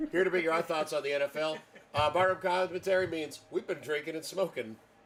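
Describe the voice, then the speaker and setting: A man talks very fast at a fairly high pitch. Noticeable background noise runs underneath. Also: fairly even intonation. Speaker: podcast host. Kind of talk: casual chat. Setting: live stream. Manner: loud.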